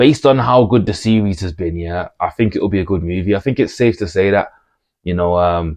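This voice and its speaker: Speaking at a fairly quick pace with a Birmingham accent, a man uses a fairly low pitch and ordinary pitch variation. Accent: Brummie. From Birmingham, England. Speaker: movie commentator YouTuber. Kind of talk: casual vlog monologue. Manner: casual, hesitant with fillers and repetitions.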